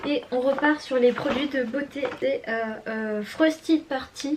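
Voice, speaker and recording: Against noticeable background noise, a woman with a high pitch speaks at a moderate pace with fairly even intonation. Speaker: beauty and lifestyle vlogger. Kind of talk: casual vlog, showing birthday gifts. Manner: hesitant, many fillers.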